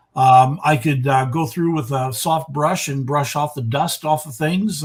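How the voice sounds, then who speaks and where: The voice is somewhat breathy, at a moderate pace. Its pitch variation is ordinary. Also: man. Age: 70s. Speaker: retired art teacher and model railroader. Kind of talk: interview. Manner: halting, many repetitions.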